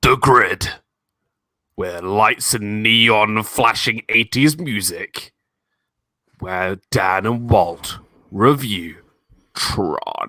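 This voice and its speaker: A man puts on a character voice, speaking very slowly with long, frequent pauses in a dry, close sound with no echo. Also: medium pitch for a man, very clean recording, silent background. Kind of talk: dramatic trailer-style intro.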